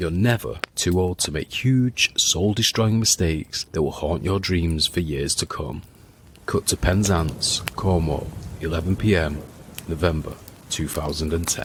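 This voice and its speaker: Speaking in a dramatic tone at a fairly slow pace, a man with a very deep, low pitch moves up and down in pitch in an ordinary way. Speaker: podcast host. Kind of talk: storytelling narration.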